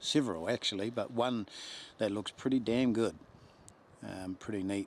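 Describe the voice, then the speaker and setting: With a New Zealand accent, a man talks at a moderate pace and medium pitch with ordinary pitch variation. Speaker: hunting guide. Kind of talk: field narration during a hunt. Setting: outdoors.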